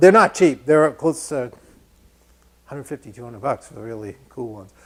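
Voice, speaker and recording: A man with a Massachusetts accent, a fairly high pitch and lively intonation. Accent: Lowell, Massachusetts. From New England (Lowell, Massachusetts). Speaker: woodworking instructor. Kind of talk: live-streamed tutorial. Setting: woodworking shop, live stream. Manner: casual, conversational.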